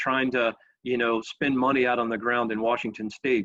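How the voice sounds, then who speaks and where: Medium pitch from a man's voice. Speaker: GIS software director presenting a tool. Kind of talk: webinar presentation. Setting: virtual webinar. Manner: fast; many fillers and repetitions.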